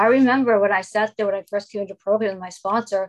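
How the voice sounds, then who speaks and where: Speaking with an American accent, a woman has a fairly high pitch and an unremarkable speaking voice. Her pace is fairly quick. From Boston, Massachusetts. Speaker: recovering anorexic and bulimic sharing her story. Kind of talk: recovery meeting share. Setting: video call.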